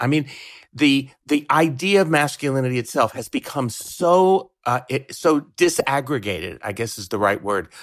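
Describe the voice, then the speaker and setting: With an ordinary speaking voice, a man talks at a fairly slow pace using lively intonation. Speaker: sociology professor. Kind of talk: interview.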